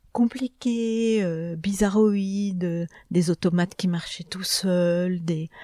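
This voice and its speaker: A woman speaks very slowly in a medium pitch with a dark, mellow tone and fairly even intonation. The sound is dry and close, with no echo. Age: 60s. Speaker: publisher. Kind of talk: interview.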